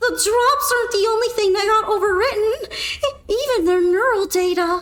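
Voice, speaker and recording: A woman uses a put-on character voice pitched extremely high. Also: moderate pace. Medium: virtual streamer. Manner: stammering, anxious.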